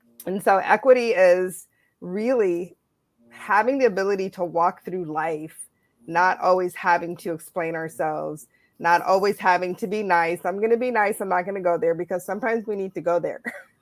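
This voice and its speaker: Her pitch sits at a medium level, with ordinary variation. A woman with an ordinary speaking voice talks at a moderate pace. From United States. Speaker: panelist. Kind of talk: panel discussion.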